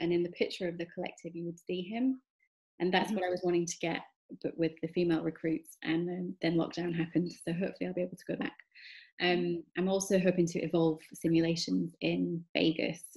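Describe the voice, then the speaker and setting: Talking very fast with fairly even intonation, a woman with a Yorkshire accent has a somewhat breathy voice that sits fairly low in pitch. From northern England, Huddersfield. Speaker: photographer. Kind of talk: interview. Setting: video call.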